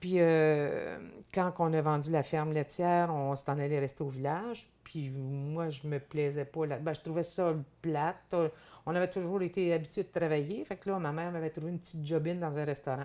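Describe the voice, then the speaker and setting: This woman has a very deep, low pitch and a dark, mellow tone. She keeps a moderate pace and fairly even intonation. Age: 60s. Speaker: farmer and businesswoman. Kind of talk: interview. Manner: halting, many repetitions.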